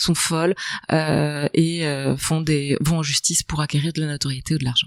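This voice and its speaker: A woman with a very deep, low pitch, monotone and flat in intonation, at a moderate pace. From Belgium, province between Brussels and Charleroi. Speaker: author, journalist and film director. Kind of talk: podcast interview answer. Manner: articulate, literary phrasing.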